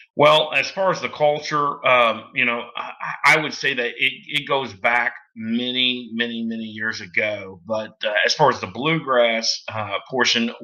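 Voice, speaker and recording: In a Southern US accent, a man talks at a fairly slow pace with hardly any pauses. His pitch is medium with ordinary variation, and background noise is noticeable. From US South, southeast Missouri. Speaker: bluegrass musician. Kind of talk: casual interview chat. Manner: halting, many fillers.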